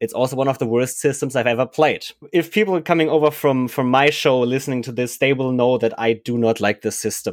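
With hardly any pauses, a man talks at a fairly quick pace in a medium pitch and ordinary pitch variation, an ordinary speaking voice. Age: 20s. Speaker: podcast host, university student. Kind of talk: interview. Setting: remote call.

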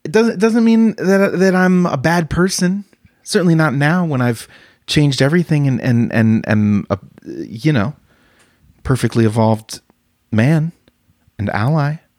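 At a moderate pace with long, frequent pauses, the voice has an animated tone and very wide pitch swings, recorded dry and close with no echo on a very clean, silent background. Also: man, fairly high pitch for a man. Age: 30s. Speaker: comedian. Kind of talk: solo comedy podcast monologue. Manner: animated, with laughs; halting, repeats words.

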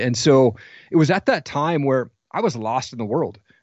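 The speaker has an American accent and a voice with vocal fry. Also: man. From US Pacific Northwest (Washington State). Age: 40s. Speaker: podcast host and coach. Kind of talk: interview testimony.

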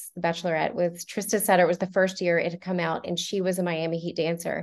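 A woman's fairly low voice with monotone, flat intonation. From US South, Montgomery, Alabama. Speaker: professional ballroom dancer. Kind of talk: interview.

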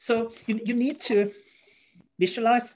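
A woman with a Norwegian accent and a dark, mellow tone, at a fairly slow pace. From Norway. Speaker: strongman athlete and competition organizer. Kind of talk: interview.

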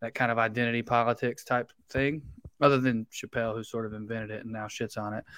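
In a Southern US accent, a man speaks at a very fast pace with monotone, flat intonation and big swings in loudness, the sound dry and close with no echo. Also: medium pitch for a man. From Tennessee. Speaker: comedian. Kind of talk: casual chat.

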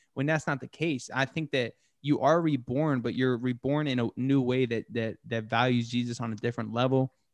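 A man with an unremarkable speaking voice and an American accent, medium pitch, fairly even intonation, moderate pace and hardly any pauses, in dry, close sound with no echo against a quiet background. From Texas. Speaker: stand-up comedian. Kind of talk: casual chat.

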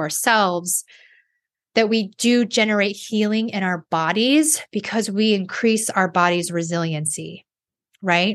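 Against a quiet background, a woman with a fairly high pitch and ordinary pitch variation talks in an ordinary speaking voice. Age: 40s. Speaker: life coach and podcast host. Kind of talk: solo monologue podcast. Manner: casual with frequent fillers.

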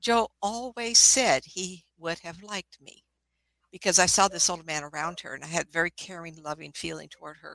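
The tone is bright and sharp, with ordinary pitch variation and a dry, close sound with no echo. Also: woman, fairly low pitch for a woman, moderate pace, big swings in loudness. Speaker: psychic medium. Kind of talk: casual chat. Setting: video call.

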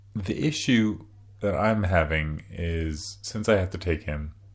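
A man's very deep, low voice at a very slow pace, with ordinary pitch variation and audible room echo. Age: 30s. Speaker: podcast host, new father. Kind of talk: solo monologue, casual. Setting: sitting on bathroom floor behind closed doors. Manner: rambling, conversational.

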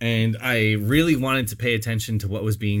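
The speaker is a man with a fairly low pitch. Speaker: podcast co-host. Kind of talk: casual chat. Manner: loud.

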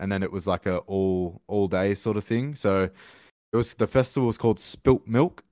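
This man has an Australian accent and a fairly low pitch, talking at a moderate pace with fairly even intonation. The sound is dry and close with no echo, over a quiet background. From Australia, Sydney. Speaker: rapper. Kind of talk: casual chat.

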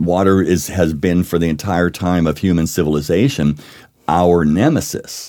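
A man's very deep, low voice with ordinary pitch variation and an American accent. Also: moderate pace. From Pittsburgh, US. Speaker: whiskey author and educator. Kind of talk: casual interview, tasting and explaining. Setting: studio tasting with drinks. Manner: storyteller, explanatory.

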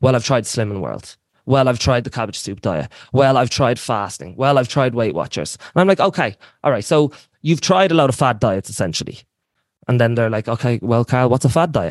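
A fairly quick pace and lively intonation in an Irish accent, over a quiet background. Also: man, medium pitch for a man. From Ireland, Wicklow. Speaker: personal trainer. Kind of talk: lecture. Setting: live video call with online audience.

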